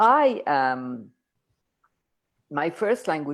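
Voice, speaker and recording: A woman's very deep, low voice against a quiet background. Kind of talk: casual chat. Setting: video call. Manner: slow; halting.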